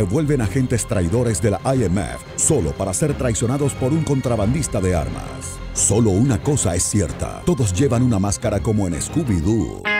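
With music in the background, a man talks at a moderate pace in a fairly low pitch that swings very widely. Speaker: voice-over artist. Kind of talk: comedic parody movie trailer narration.

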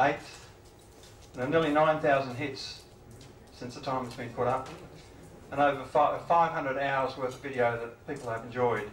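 Spoken at a moderate pace with fairly even intonation, the voice comes through audible room echo and light background noise. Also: man. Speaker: meeting host. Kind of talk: meeting introduction speech. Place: meeting room. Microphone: handheld.

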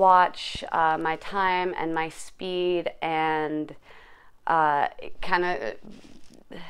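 Very slowly and in a monotone, flat intonation, a woman speaks at a fairly low pitch. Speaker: fitness vlogger. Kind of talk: casual vlog chat. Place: home room. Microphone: phone near.

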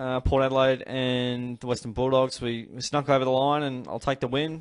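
This man speaks with an Australian accent at a moderate pace. His medium-pitched delivery is monotone and flat. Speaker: AFL fan channel host. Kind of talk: solo sports review vlog. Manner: casual, hesitant with many fillers.

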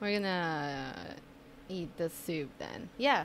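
A woman's lively intonation stands out above light background noise. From Colombia. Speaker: podcast host. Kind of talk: casual chat. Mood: relaxed, hesitant. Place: studio. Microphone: studio mic.

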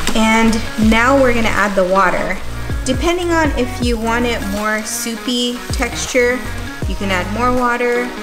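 Clear music plays in the background as a woman talks. Her pace is fairly slow, with ordinary pitch variation. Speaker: home cook host. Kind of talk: tutorial. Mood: relaxed, friendly. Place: kitchen.

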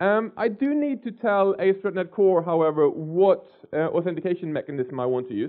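Male speaker, quiet background. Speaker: conference speaker. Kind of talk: lecture. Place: hall. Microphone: headset.

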